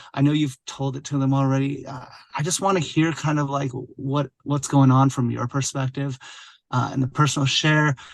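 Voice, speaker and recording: A man talks at a moderate pace with a fairly high pitch. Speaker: pediatric physical therapist. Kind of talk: podcast interview. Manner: loud and boisterous; animated.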